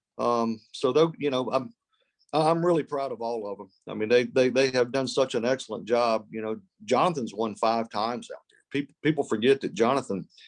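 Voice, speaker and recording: A man's ordinary speaking voice at a medium pitch, fairly quick in pace, with ordinary pitch variation and big swings in loudness. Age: 60s. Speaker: college golf coach. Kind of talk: podcast interview. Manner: repeats words often.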